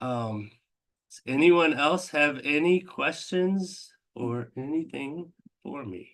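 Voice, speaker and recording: A man at a very slow pace, fairly high in pitch, with lively intonation. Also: big swings in loudness. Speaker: telehealth meeting host. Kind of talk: live online Q&A presentation. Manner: casual, filler-heavy.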